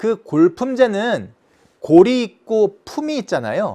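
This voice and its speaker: A man speaks with high pitch and very wide pitch swings on a very clean recording with a silent background. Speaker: history teacher. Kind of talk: lecture.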